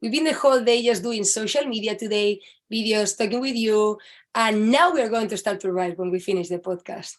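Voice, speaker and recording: Speaking fairly quickly with a Spanish accent, a woman has a fairly high pitch and ordinary pitch variation. The recording is very clean, with a silent background. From Spain. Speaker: author. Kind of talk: casual interview chat.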